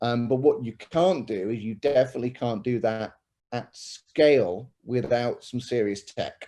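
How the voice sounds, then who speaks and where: Speaking with a British accent, a man has a dark, mellow tone and ordinary pitch variation. His pace is fairly slow. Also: medium pitch for a man. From UK. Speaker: tech company executive. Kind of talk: panel discussion.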